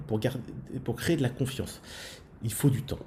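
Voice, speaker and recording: The tone is dark and mellow, and the voice is somewhat breathy. Pitch variation is ordinary. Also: man. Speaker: school principal and podcast co-host. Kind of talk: podcast discussion. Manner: fast.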